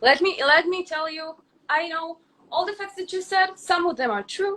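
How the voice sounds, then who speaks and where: Raised and projected, a woman's extremely high-pitched voice has a bright, sharp tone and an Israeli accent, at a moderate pace. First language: Hebrew. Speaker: influencer. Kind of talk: heated debate. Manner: halting.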